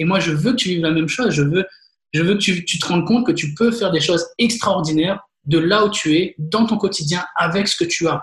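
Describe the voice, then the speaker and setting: A man's high voice sounds animated, with ordinary pitch variation. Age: 30s. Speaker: podcast host. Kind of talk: interview.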